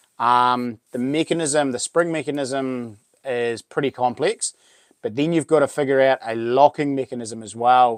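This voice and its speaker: A man with a New Zealand accent speaks at a medium pitch. His pace is fairly slow and his intonation fairly even. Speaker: YouTuber and knife maker. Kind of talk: live stream chat. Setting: live stream. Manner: halting.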